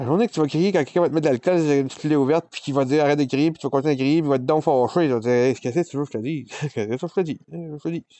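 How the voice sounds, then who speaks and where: A man talks at a very fast pace in a Quebec accent. The sound is dry, with no echo. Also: fairly high pitch for a man, ordinary pitch variation. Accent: Québécois French. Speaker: vlogger. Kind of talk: personal confession. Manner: loud. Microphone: phone near.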